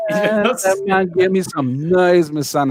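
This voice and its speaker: A man's lively intonation with an American accent. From US Virgin Islands. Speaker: former college athlete. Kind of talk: casual chat. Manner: animated.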